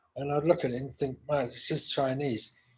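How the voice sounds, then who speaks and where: A man's voice comes through fairly high in pitch and somewhat breathy. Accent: London. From London, England. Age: 60s. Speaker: session guitarist. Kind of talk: interview.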